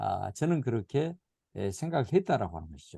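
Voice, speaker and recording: The sound is dry and close, with no echo. The pitch swings very widely in a dark, mellow tone. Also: man. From South Jeolla, Korea (Goheung County). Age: 70s. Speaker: missiology lecturer. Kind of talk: lecture. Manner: hesitant, many fillers.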